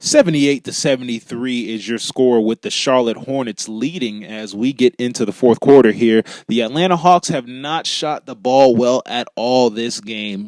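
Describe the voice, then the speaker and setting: A man's medium-pitched, normal speaking voice at a moderate pace, with ordinary pitch variation, big swings in loudness and a dry, close sound with no echo. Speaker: sports play-by-play commentator. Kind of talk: live basketball play-by-play commentary.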